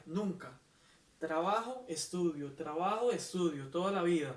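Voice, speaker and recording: High-pitched male speech at a fairly slow pace, with ordinary pitch variation and noticeable background noise. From Costa Rica. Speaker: poet. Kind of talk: interview answer.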